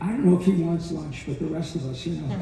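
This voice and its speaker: A man speaks at a high pitch with lively intonation. Noticeable background noise runs beneath him. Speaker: voice actor and voice director. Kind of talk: convention panel talk.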